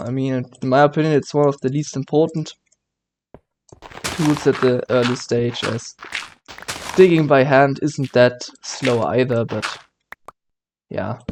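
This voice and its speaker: Speaking with a German accent, a man uses a medium pitch and fairly even intonation at a fairly slow pace, leaving long, frequent pauses. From Germany. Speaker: gaming YouTuber. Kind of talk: let's play commentary. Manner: halting, many fillers and self-corrections.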